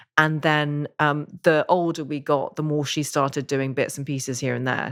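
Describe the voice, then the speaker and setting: This woman has an English accent and a very deep, low pitch. Her intonation is fairly even on a very clean recording with a silent background. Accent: English accent, stood out in Northern Ireland. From Northern Ireland, moved from Surrey at four. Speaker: author and podcaster. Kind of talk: interview conversation.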